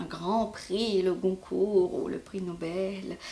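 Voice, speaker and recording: A woman with a Mauritian accent speaks at a very slow pace, at a medium pitch with ordinary pitch variation. Noticeable background noise is present. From Mauritius. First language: Mauritian Creole (speaking French). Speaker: novelist. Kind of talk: interview. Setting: at home in her apartment. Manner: halting, many fillers.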